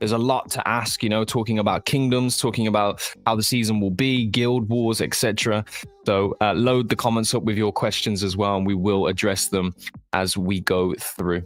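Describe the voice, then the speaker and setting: A man with a fairly low pitch speaks at a moderate pace, his loudness very even and his intonation fairly even. Noticeable background noise is present. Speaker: podcast host. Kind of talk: casual chat.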